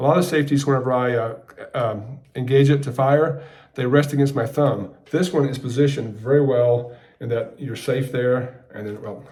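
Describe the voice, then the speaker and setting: A man with a dark, mellow tone and medium pitch speaks somewhat breathily with fairly even intonation, his loudness swinging widely, in a room with audible echo. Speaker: gun reviewer YouTuber. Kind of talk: product review. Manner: fast.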